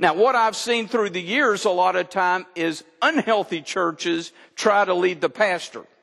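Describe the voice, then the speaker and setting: With an American accent, a man speaks at a high pitch in a bright, sharp tone, his pitch varying in an ordinary way. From Texas. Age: 60s. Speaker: pastor. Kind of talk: sermon. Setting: church.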